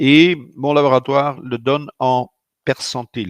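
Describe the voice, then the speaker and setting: In a Dutch accent, a man talks at a medium pitch, the sound dry and close with no echo and the background quiet. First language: Dutch (speaking French). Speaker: physician. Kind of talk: lecture. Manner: hesitant, many fillers.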